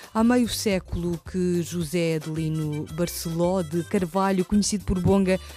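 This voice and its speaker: Music plays in the background as a woman talks. Her pitch is medium and her pace fairly slow. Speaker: radio journalist. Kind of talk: radio interview questions.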